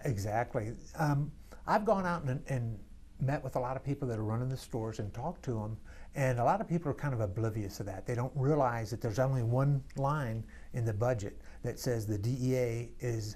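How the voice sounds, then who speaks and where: The voice is somewhat breathy with a dark, mellow tone. It moves at a fairly quick pace with ordinary pitch variation. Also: man. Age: 60s. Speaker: congressional candidate. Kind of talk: interview. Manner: halting.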